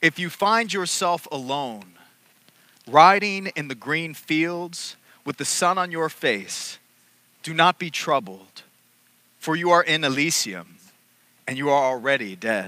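A man's bright, sharp voice comes at a fairly slow pace with long, frequent pauses, in a dry sound with no echo. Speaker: priest. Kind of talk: sermon. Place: church. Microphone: headset.

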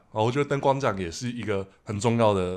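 Ordinary pitch variation at a fairly quick pace. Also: man. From Taiwan. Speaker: podcast host. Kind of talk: casual chat. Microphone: studio mic.

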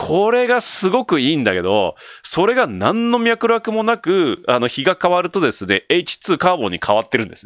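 Against a quiet background, with a dry sound and no echo, a man speaks at a moderate pace with hardly any pauses, his animated, high-pitched voice swinging very widely in pitch. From Japan. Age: 40s. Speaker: solo video creator. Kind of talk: casual solo talk. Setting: late-night solo broadcast. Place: home room. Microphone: studio mic.

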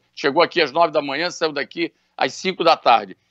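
A man's high-pitched voice with a bright, sharp tone, dry with no echo against a quiet background. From Brazil. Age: 60s. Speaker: businessman; interviewee. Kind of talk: radio interview. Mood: serious, earnest. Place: home room. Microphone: video call.

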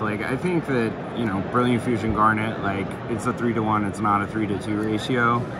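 Noticeable background noise surrounds a man speaking at a fairly quick pace in a dry sound with no echo. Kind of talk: casual deck explanation. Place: hall. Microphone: phone near.

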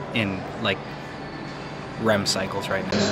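A man speaks at a moderate pace against loud background noise. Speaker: vlogger. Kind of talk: casual vlog chat. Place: station. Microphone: phone near.

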